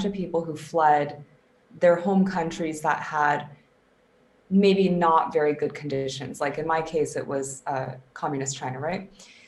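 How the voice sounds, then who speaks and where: With an American accent, a woman talks at a fairly slow pace and ordinary pitch variation, with audible room echo and music in the background. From US West Coast (Silicon Valley, Bay Area). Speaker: performance coach. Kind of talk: casual interview.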